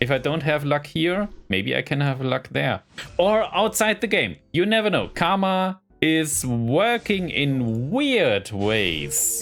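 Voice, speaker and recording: A man's fairly high voice with a German accent, very slow, with very wide pitch swings and very even loudness. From Germany. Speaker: gaming YouTuber. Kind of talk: casual gameplay commentary. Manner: rambling, hesitant.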